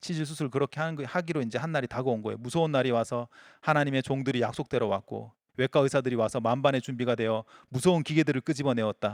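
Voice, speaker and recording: At a very fast pace, a man of medium pitch speaks with ordinary pitch variation in a dry, close sound with no echo and a very clean recording with a silent background. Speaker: pastor. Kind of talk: sermon.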